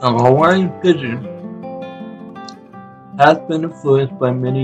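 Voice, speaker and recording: A man's medium-pitched voice comes through with music behind it. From Hawaii. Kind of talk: educational talk. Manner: casual, conversational.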